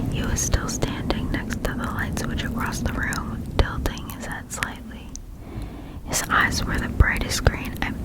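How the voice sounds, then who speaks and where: The speaker is whispering. Noticeable background noise is present. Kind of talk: ASMR story reading. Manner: whispered.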